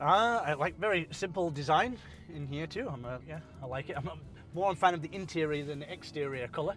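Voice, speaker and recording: Music sits in the background as a man with a fairly high pitch speaks at a very fast pace. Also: ordinary pitch variation. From Britain. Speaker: car reviewer. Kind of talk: casual chat. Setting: in a car.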